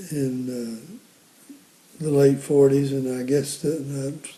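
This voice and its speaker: Someone with an American accent speaks at a very slow pace. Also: man. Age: 80s+. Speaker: war veteran. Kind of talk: interview. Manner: halting.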